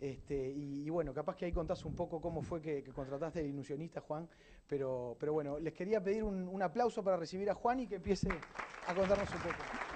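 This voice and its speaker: Noticeable background noise sits behind a man with a high pitch. He talks very fast, with ordinary pitch variation. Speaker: event and podcast host. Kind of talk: event introduction. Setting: stage with audience.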